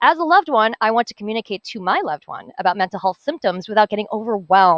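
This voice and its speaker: A woman speaks at a very fast pace on a very clean recording with a silent background. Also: dry, close sound with no echo. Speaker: hackathon team presenter. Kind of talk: project presentation.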